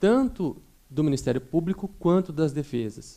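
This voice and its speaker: A man speaks at a fairly high pitch with a dark, mellow tone. His pace is fairly slow. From São Paulo state, Campinas. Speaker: prosecutor. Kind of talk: courtroom closing argument to jury. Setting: courtroom jury trial. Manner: formal.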